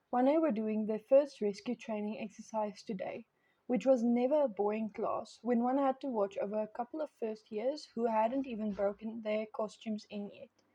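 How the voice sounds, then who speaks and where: A woman's fairly high, somewhat breathy voice with a dark, mellow tone, ordinary pitch variation, moderate pace and hardly any pauses. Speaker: podfic reader. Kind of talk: reading aloud.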